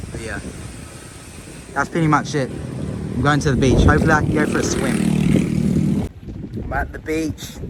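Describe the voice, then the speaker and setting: A man with a fairly high pitch speaks with long, frequent pauses over noticeable background noise. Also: ordinary pitch variation, moderate pace. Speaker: travel vlogger. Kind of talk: vlog monologue. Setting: outdoors. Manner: casual.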